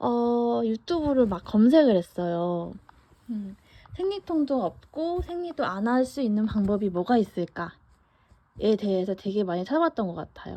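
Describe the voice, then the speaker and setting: A woman speaks at a medium pitch with a dark, mellow tone. Her fairly slow delivery carries very wide pitch swings. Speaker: vlogger. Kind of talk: casual monologue. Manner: conversational with fillers.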